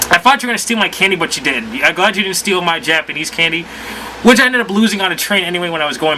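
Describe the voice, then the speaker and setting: A man speaks at a very fast pace with very wide pitch swings. Noticeable background noise runs beneath him. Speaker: video game vlogger. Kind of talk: casual vlog. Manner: rambling, halting.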